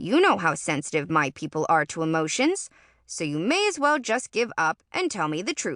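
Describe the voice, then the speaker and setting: A woman's put-on character voice at fairly low pitch and moderate pace, over a quiet background. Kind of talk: prim. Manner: prim, knowing.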